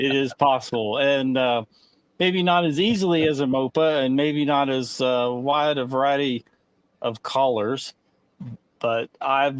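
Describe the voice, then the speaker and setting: A man with a West Virginia accent speaks in a fairly high pitch. His pace is fairly slow, and his pitch variation is ordinary. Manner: drawl, pronouncing color like collar.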